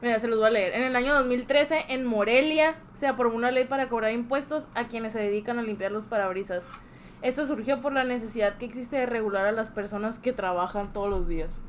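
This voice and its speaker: A woman with a normal speaking voice, fairly high in pitch with ordinary variation, at a fairly quick pace. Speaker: podcast co-host. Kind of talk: casual chat.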